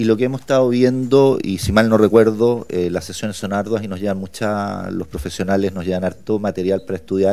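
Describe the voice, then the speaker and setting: With hardly any pauses, a man speaks at a fairly quick pace in a dark, mellow tone, his fairly low pitch held in fairly even intonation. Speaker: candidate for human rights council. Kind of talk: parliamentary committee hearing testimony. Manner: halting, many fillers and repetitions.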